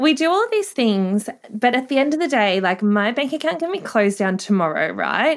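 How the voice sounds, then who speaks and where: Over a silent background in a very clean recording, a woman with an Australian accent speaks at a moderate pace and a fairly high pitch with very wide pitch swings. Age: 30s. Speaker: sex worker. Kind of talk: interview. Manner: upbeat.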